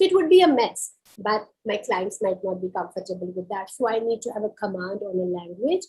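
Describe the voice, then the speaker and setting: A woman talks at a fairly quick pace in a Kashmiri accent, her pitch swinging very widely. Her tone is dark and mellow. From India. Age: 30s. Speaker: psychologist. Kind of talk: career talk.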